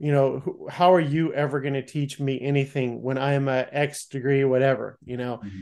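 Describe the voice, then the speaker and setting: Talking at a fairly quick pace with hardly any pauses, a man has an unremarkable speaking voice and a fairly high pitch. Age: 50s. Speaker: martial arts podcast host. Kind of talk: casual interview chat.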